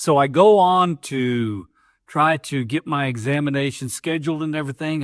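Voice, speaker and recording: A man with an ordinary speaking voice talks at a moderate pace in a fairly high pitch with ordinary pitch variation, the sound dry and close with no echo on a very clean recording with a silent background. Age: 60s. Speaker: off-road hobbyist YouTuber. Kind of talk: casual talk to camera.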